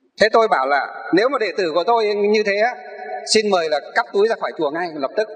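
Against a quiet background, a man with a high pitch talks at a moderate pace using lively intonation. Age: 40s. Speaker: Buddhist monk, abbot; Buddhist monk teacher. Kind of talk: sermon. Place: hall. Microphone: handheld.

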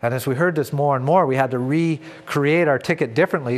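With a Canadian accent, a man speaks at a fairly quick pace with ordinary pitch variation. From Canada. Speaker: retired police officer, trainer; guest. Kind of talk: lecture. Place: studio. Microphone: lapel.

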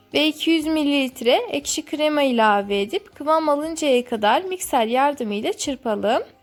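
Over music in the background, a woman with a high pitch speaks at a moderate pace with lively intonation and very even loudness. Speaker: cooking channel host. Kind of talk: recipe voice-over narration.

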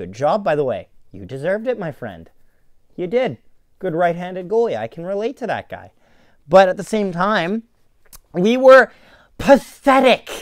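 A man shouts in a furious tone at a high pitch, with lively intonation and big swings in loudness. He keeps a moderate pace with long, frequent pauses, over a quiet background in a dry sound with no echo. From Winnipeg, Canada. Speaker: hockey fan podcaster. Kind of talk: angry rant about a team's loss. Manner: furious, sweary, shouting, sarcastic. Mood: frustrated, ranting. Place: home room. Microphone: phone near.

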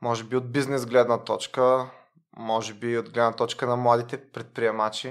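Monotone, flat intonation from a man at a medium pitch and moderate pace, in a very clean recording with a silent background. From Bulgaria, Varna. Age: 30s. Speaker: lawyer. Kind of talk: casual interview.

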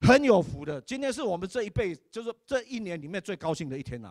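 In a dry, close sound with no echo, a man with a high pitch speaks in an animated tone with very wide pitch swings. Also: very clean recording, silent background. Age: 60s. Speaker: church elder and preacher. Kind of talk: sermon.

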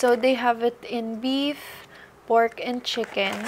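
Light background noise sits behind the recording. A woman talks at a very slow pace. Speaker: vlogger. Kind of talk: casual vlog chat. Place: home room. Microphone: camera far.

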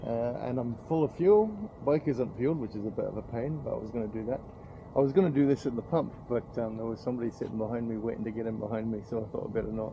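Amid light background noise, a somewhat breathy man talks at a very fast pace with ordinary pitch variation. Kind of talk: casual vlog chat. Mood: slightly nervous, then amused. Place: street. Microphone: phone near.

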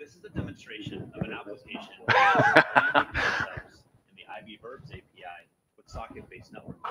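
A man uses a put-on character voice that sounds raspy. He talks at a fairly quick pace but leaves long, frequent pauses. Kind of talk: flat, technical demo. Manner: monotone.

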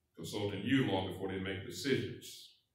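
With audible room echo around him, a man speaks at a moderate pace in a fairly low pitch with fairly even intonation. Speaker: minister leading prayer. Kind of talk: public prayer. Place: church.

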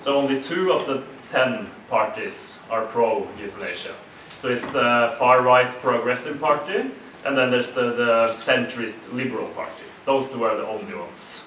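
Light background noise and audible room echo surround a man with a Norwegian accent who speaks at a moderate pace with ordinary pitch variation. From Norway. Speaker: politician. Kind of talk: panel discussion. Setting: stage with audience. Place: meeting room. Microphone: camera far.

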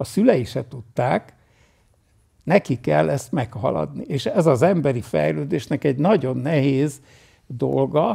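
Over a quiet background, a man talks very slowly with vocal fry and a dark, mellow tone. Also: medium pitch for a man, lively intonation. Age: 80s+. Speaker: meditation teacher. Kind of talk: Q&A talk at retreat. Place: home room.

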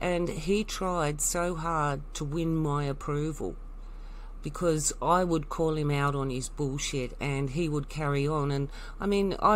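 Her pitch is very deep and low. The woman speaks with an Australian accent and fairly even intonation. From Tasmania, Australia. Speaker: alternative commentator vlogger. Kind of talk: personal monologue.

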